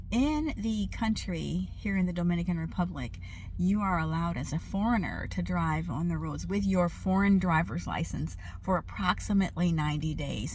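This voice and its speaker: Audible echo from the room follows this woman as she talks at a moderate pace. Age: 70s. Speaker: retired doctor turned expat vlogger. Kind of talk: casual vlog. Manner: halting, many fillers.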